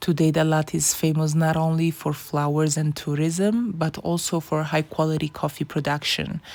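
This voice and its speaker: A woman with a non-native accent speaks in a very deep, low voice at a moderate pace, her delivery flat and monotone with hardly any pauses and very even loudness, on a very clean recording with a silent background. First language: not English. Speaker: travel vlogger. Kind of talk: travel documentary narration.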